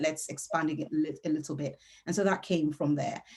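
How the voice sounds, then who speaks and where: A woman speaks with a Yoruba accent. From Nigeria (Yoruba). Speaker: novelist. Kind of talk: author interview.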